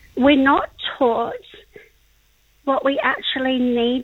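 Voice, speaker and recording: Very slowly, a woman speaks in a high-pitched voice. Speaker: education founder. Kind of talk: radio interview. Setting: phone call.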